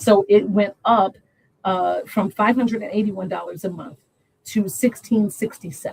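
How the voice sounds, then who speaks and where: A woman's medium-pitched voice with vocal fry. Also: ordinary pitch variation, moderate pace. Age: 60s. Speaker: congressional candidate and social worker. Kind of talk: interview.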